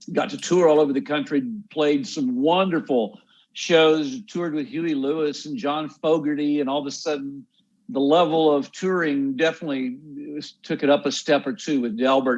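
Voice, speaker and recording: With a Texan accent, this man speaks in a fairly high pitch. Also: ordinary pitch variation, moderate pace, quiet background. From Texas. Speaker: songwriter and musician. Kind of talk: interview.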